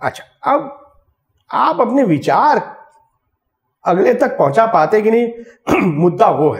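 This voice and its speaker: A man talks at an extremely high pitch, his pitch swinging very widely. He pauses long and often. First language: Bengali (speaking Hindi). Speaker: retired army officer and SSB assessor. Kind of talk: interview.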